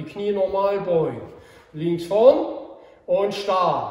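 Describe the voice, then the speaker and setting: Audible room echo around a man's speech, its pitch varying in an ordinary way. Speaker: karate instructor. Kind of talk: instruction while demonstrating. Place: hall. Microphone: camera far.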